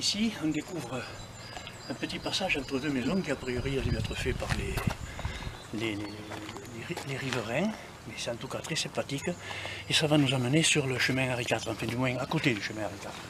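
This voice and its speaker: Against noticeable background noise, a man with a medium pitch and ordinary pitch variation speaks with long, frequent pauses. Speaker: walking group leader. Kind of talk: casual vlog walking tour. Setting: outdoors. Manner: speaking softly.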